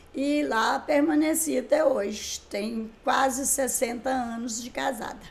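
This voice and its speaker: A woman with a high pitch talks at a very slow pace with hardly any pauses, her intonation fairly even but her loudness swinging widely. Noticeable background noise and audible room echo come through as well. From Brazil, Minas Gerais (Caratinga area). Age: 70s. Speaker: writer and songwriter. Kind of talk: interview.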